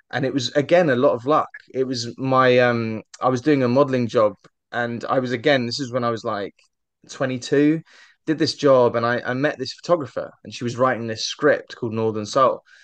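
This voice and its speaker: Against a quiet background, a man talks at a fairly quick pace and a medium pitch with fairly even intonation. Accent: southern English. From southern England. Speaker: actor and podcast host; actor, podcast host. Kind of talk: casual interview chat. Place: home room. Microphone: studio mic.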